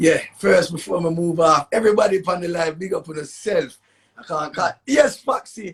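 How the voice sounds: A man with a Jamaican accent speaks at a high pitch and a moderate pace. His voice has vocal fry and a husky, rough edge.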